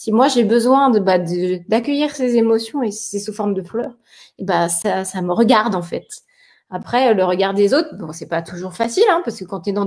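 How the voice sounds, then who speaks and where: In a plain, everyday voice, a woman speaks at a moderate pace and fairly high pitch with lively intonation. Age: 40s. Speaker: live stream co-host. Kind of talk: casual chat. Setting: live video stream.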